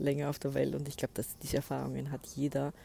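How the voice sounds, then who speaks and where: Very fast and very deep, a woman's voice carries a dark, mellow tone with vocal fry. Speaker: podcast host and spiritual coach. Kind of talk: solo podcast monologue. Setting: outdoors by a lake.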